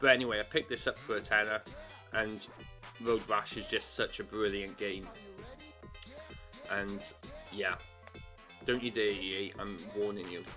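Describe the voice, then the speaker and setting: Music plays in the background as a man speaks. He leaves long, frequent pauses. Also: moderate pace. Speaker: retro video game collector. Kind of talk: casual talk to camera.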